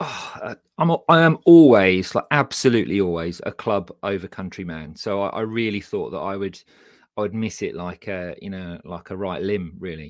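On a very clean recording with a silent background, a man with an English Midlands accent speaks at a moderate pace in a fairly low voice, with lively intonation and big swings in loudness. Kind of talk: casual chat.

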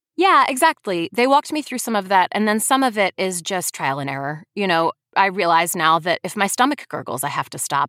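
A woman talks at a fairly quick pace with hardly any pauses, at a medium pitch. Her pitch swings very widely, and the sound is dry and close with no echo. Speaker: audiobook narrator and actress. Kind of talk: casual interview. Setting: remote call from home studio.

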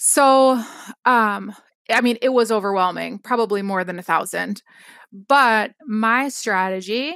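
Talking at a fairly slow pace, a woman has an Upper Midwest accent. Her voice is fairly high with ordinary pitch variation. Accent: Upper Midwest American. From Wisconsin, US Upper Midwest. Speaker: scrapbook product designer and company founder. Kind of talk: casual interview. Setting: remote call.

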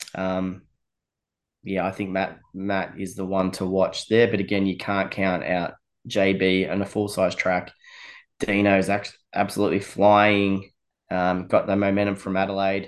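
Speaking in an Australian accent, a man with a fairly low pitch talks at a fairly slow pace in a monotone, flat way against a quiet background. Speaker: motorsport event promoter. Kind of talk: podcast interview. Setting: remote from a cabin. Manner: casual, hesitant with many fillers.

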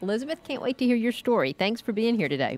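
Noticeable background noise is present throughout. A woman's voice comes through it. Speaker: radio host and interviewer. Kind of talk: interview.

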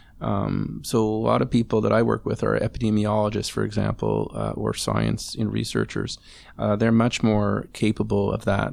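The background stays quiet. A man's speech moves at a moderate pace. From Montreal, Quebec. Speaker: family doctor. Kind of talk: casual chat.

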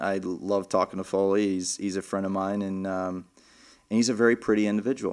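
A man with a plain, everyday voice speaks in an American accent, fairly low in pitch. His pace is fairly quick and his intonation fairly even, on a very clean recording with a silent background. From Texas, Lubbock. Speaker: professional golfer. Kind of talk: casual interview. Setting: studio.

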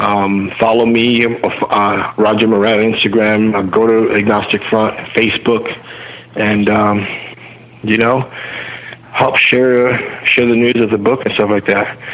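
Over noticeable background noise, a man talks at a fairly slow pace in a medium pitch, his intonation monotone and flat and his loudness very even. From Cuba. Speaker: hardcore punk singer and author. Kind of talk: casual interview.

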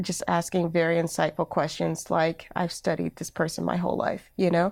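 Speaking at a moderate pace, a woman uses a fairly low voice with monotone, flat intonation. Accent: American. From Alabama, US South. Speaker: creative entrepreneur and podcaster. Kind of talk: interview conversation.

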